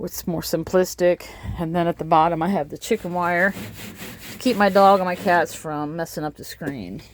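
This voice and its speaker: Woman's fairly low voice with fairly even intonation and big swings in loudness, over noticeable background noise. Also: moderate pace. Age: 50s. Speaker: van life vlogger. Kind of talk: casual video tour. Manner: casual, chatty with fillers.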